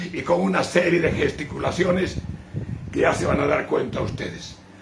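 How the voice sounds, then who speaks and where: A man talks at a fairly quick pace. The room echo is audible, and background noise is noticeable. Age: 80s+. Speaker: bishop. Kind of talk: sermon.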